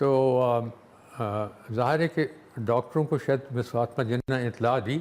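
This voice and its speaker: A man's medium-pitched voice with ordinary pitch variation comes through noticeable background noise. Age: 80s+. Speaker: war veteran. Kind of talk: interview. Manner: halting.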